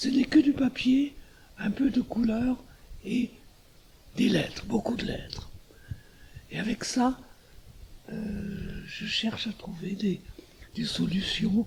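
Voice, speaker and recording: A man with a high pitch talks at a very slow pace, leaving long, frequent pauses. His pitch variation is ordinary, and there is noticeable background noise. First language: German (speaking French). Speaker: artist. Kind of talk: interview. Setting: artist's studio. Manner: halting.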